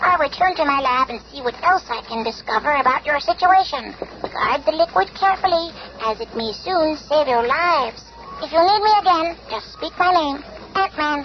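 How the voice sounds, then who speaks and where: In a put-on character voice, someone speaks at a high pitch and a moderate pace. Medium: old radio play. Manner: calm, measured.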